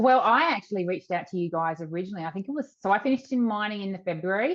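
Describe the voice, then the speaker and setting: Very fast, bubbly speech in an Australian accent with lively intonation. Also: woman, medium pitch for a woman. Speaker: virtual assistant business owner. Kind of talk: interview. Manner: bubbly, a bit loud.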